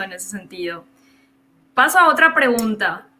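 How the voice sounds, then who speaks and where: The background noise is noticeable. A woman talks over it. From Paraguay border region, Ciudad del Este area. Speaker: filmmaker and teacher. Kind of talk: interview.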